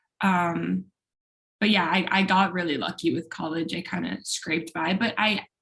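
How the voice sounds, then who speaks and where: Vocal fry marks this woman's fairly low voice, which moves at a moderate pace with fairly even intonation. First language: Spanish. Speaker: law student. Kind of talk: casual chat.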